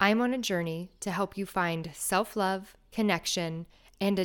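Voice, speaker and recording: A woman's plain, everyday voice, medium in pitch, with fairly even intonation and a fairly slow pace, on a very clean recording with a silent background. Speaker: meditation guide and podcast host. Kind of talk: guided meditation.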